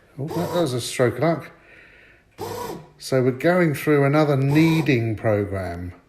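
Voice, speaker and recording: A man with a fairly high pitch speaks fairly slowly, leaving long, frequent pauses, and his intonation is lively. The room echo is audible and background noise is noticeable. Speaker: home cooking vlogger. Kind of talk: cooking tutorial. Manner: casual, chatty.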